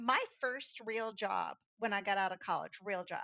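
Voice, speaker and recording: Speaking in an ordinary speaking voice, a woman keeps a moderate pace and ordinary pitch variation. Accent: American. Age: 60s. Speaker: clean tech professional. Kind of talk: interview storytelling.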